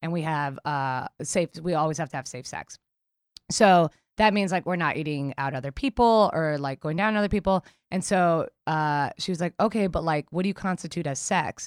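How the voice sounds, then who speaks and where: A woman with an American accent and a fairly low pitch speaks at a moderate pace with ordinary pitch variation. She has an unremarkable speaking voice, captured dry and close with no echo in a very clean recording with a silent background. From New York City, Queens. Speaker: comedian. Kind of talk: casual chat.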